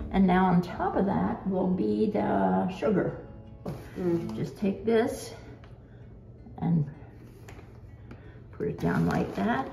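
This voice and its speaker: With music in the background, a woman speaks at a very slow pace, leaving long, frequent pauses. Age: 80s+. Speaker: grandmother teaching pie baking. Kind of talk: instructional conversation.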